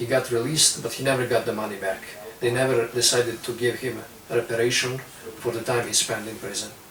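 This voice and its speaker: A man at a very fast pace, medium in pitch and monotone, flat in intonation, with audible room echo and noticeable background noise. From Serbia, near Romanian border. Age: 20s. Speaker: young political activist. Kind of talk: interview.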